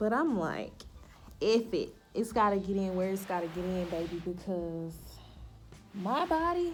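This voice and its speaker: A woman speaks at a fairly slow pace with an American accent and a medium pitch, leaving long, frequent pauses. Her intonation is lively, and audible room echo surrounds her voice. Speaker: lifestyle vlogger. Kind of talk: casual chat. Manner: stumbles over words.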